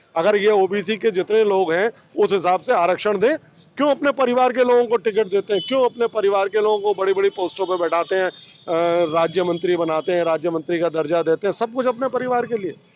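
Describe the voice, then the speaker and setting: A man speaks in a high voice with ordinary pitch variation and hardly any pauses. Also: moderate pace. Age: 60s. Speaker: trader association leader. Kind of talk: street interview. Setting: outdoors in a market.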